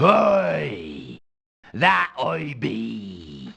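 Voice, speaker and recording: A man puts on a character voice. It is raspy and very deep. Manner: exaggerated.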